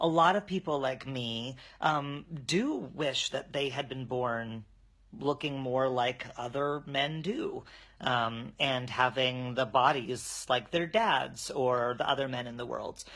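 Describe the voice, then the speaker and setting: A very slow man's voice at medium pitch, bright and sharp in tone, with ordinary pitch variation and a very clean recording over a silent background. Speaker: video blogger. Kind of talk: personal explanation to camera. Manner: casual with many fillers.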